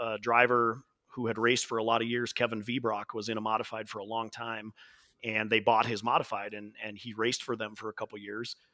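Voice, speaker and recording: Bright, sharp tone with an American accent, at a fairly quick pace. The intonation stays monotone and flat. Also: man, medium pitch for a man. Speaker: race announcer and event promoter. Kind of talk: casual interview chat.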